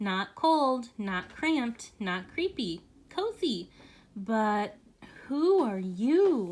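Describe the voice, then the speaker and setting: Using a squeaky, put-on character voice, a woman speaks very slowly at a fairly high pitch in a very clean recording with a silent background. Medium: read story.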